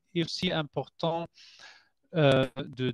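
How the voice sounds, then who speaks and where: Recorded dry and close with no echo, a man speaks at a very slow pace with ordinary pitch variation. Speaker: scientist at a collagen producer. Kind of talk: product presentation. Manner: halting, many hesitations. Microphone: microphone problem.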